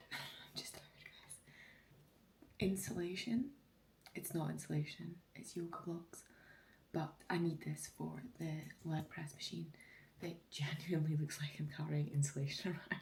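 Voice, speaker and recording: Woman's voice, very deep and low, with vocal fry, fairly even intonation, big swings in loudness, a moderate pace and long, frequent pauses. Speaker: fitness coach and vlogger. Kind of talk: casual vlog chat. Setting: at home early morning.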